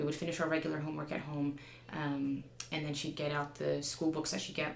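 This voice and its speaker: In a New Jersey accent, a woman with a very deep, low pitch talks at a very fast pace in a monotone, flat intonation, with audible room echo and noticeable background noise. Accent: American, New Jersey. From New Jersey, US. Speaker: counterterrorism teacher. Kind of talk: interview conversation. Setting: studio.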